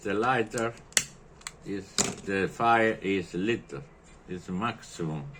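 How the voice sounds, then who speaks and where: Amid noticeable background noise, a man with an Italian accent speaks very slowly at a fairly low pitch, his intonation lively. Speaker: lighter repairer. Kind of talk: tutorial. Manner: halting.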